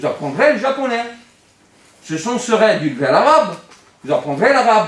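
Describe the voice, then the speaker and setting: A man's high voice with very wide pitch swings at a fairly slow pace, with audible room echo and noticeable background noise. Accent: Italian. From Italy. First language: Italian (speaking French). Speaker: philosophy teacher. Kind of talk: classroom lecture. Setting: classroom with students. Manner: animated.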